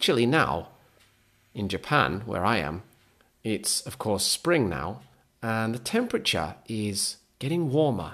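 The speaker is a man with a medium pitch. His voice moves in very wide pitch swings. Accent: Lancashire. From northern England, Lancaster, Lancashire. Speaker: English teacher podcaster. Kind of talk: English-learning monologue. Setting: home recording, heater noise.

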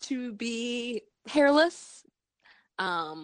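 In a dry, close recording with no echo and a quiet background, a woman's voice moves through very wide pitch swings. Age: 30s. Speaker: podcast host. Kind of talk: casual chat. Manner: animated.

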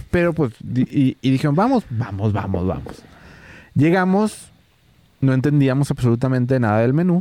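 In a plain, everyday voice, a man speaks at a moderate pace and medium pitch, with lively intonation and very even loudness. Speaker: podcast co-host, event videographer. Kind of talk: casual chat. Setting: rented cabin, Nuevo León.

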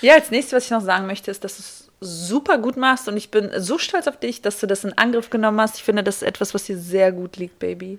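A woman talks at a medium pitch with lively intonation and an unremarkable speaking voice. Her loudness swings widely. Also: fairly quick pace. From Kazakhstan, moved to Germany as a child. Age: 30s. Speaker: guest co-presenter asking questions. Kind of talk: casual chat.

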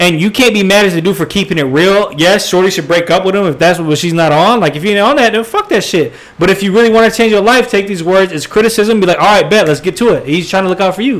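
Against noticeable background noise, a man races along at a very fast pace with hardly any pauses, a high pitch and ordinary pitch variation. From Puerto Rican and Irish family background. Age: 20s. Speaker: podcast host. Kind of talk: casual chat.

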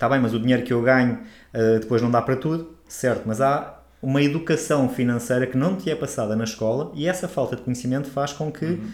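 With a normal speaking voice, a medium-pitched man talks fairly quickly with hardly any pauses and ordinary pitch variation on a very clean recording with a silent background. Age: 40s. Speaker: holistic therapist and podcast co-host. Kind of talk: casual chat.

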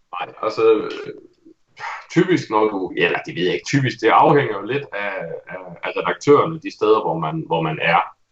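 A man talks at a fairly slow pace, with long, frequent pauses and big swings in loudness. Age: 30s. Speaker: game reviewer. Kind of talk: casual chat.

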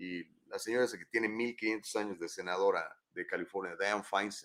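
A man's fairly low voice with a Mexican accent, an animated tone and a moderate pace. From Mexico, San Luis Potosí (Huasteca). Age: 50s. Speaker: news talk show host. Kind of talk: live talk show with news commentary. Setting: studio, live stream.

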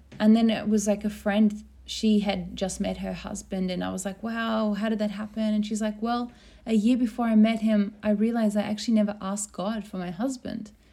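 A fairly high, somewhat breathy woman's voice with a dark, mellow tone and an Australian accent, monotone and flat in intonation, at a fairly quick pace, on a very clean recording with a silent background. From rural Australia. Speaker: podcast host. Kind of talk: casual chat.

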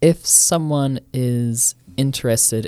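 A New Zealand accent in a very clean recording with a silent background. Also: man. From New Zealand (Auckland, west). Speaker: anarchist group member, podcast co-host. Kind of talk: casual discussion.

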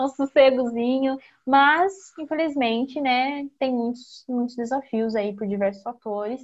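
A woman's high-pitched voice at a fairly slow pace, with ordinary pitch variation and hardly any pauses. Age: 20s. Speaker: gerontologist. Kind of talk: casual chat.

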